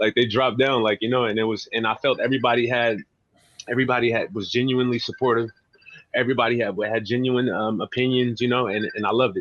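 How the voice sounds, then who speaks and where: Speaking very fast, a man with a medium pitch keeps his intonation flat and monotone. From San Francisco. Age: 20s. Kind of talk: interview answer. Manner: casual, hesitant.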